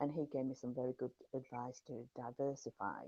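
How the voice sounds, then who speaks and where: A woman speaks at a moderate pace in a very deep, low voice with a dark, mellow tone and monotone, flat intonation. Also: dry, close sound with no echo. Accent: English. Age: 60s. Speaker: horsewoman and yard manager. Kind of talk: interview answer.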